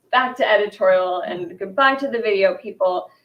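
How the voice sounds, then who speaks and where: A woman speaks with a New York accent. Her pitch sits in the middle range. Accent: American, New York. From US, New York. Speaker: fashion and culture journalist. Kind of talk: panel discussion.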